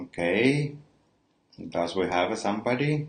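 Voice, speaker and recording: This man talks very slowly. He has a non-native accent. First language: not English. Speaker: perfumer. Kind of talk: livestream product talk. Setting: live stream. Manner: halting, many fillers.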